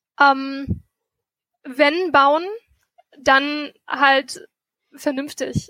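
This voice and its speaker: A woman projects her high-pitched voice in a bright, sharp tone, flat and monotone, with a dry, close sound and no echo. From Germany, Meerbusch near Düsseldorf. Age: 20s. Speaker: student and mayoral candidate. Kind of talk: interview. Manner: halting.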